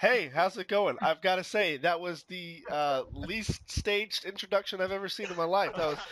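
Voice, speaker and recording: Through noticeable background noise, a man with a high voice talks at a moderate pace with hardly any pauses and ordinary pitch variation. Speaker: podcast host. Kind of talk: casual chat. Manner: hesitant, many fillers.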